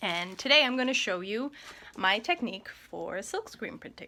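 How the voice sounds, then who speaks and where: In a West Coast Canadian accent, a woman speaks at a fairly slow pace. Her tone is bright and sharp, with lively intonation. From Coast Salish First Nation, Gulf Islands, British Columbia. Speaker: artist. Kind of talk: tutorial. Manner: casual, friendly.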